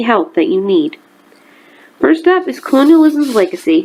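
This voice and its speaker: A woman at a fairly quick pace, with very wide pitch swings, against noticeable background noise. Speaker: amateur poet. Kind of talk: casual introduction to camera.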